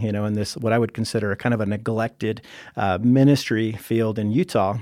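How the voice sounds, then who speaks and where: A man's normal speaking voice at medium pitch, fairly quick in pace, with fairly even intonation, on a very clean recording with a silent background. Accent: American. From Pennsylvania. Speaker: pastor. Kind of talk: casual chat.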